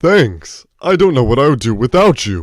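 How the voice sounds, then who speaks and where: A man puts on a character voice at a medium pitch with very wide pitch swings. He speaks at a moderate pace on a very clean recording with a silent background. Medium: audio drama. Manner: folksy, earnest.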